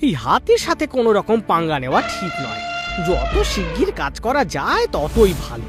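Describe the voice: Over faint background music, a man does a cartoonish character voice with a high pitch, a fairly bright tone, very wide pitch swings and a moderate pace.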